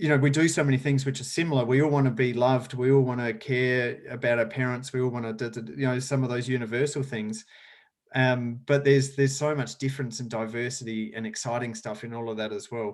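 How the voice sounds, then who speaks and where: In an Australian accent, the speaker goes at a very fast pace with fairly even intonation on a very clean recording with a silent background. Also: man, medium pitch for a man. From rural South Australia. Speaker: sustainability educator and speaker. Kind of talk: podcast interview.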